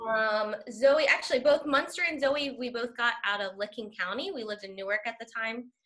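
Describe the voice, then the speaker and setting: Bright, sharp tone at a moderate pace, with ordinary pitch variation and a quiet background. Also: woman. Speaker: school staff member. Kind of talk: casual chat. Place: home room. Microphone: video call.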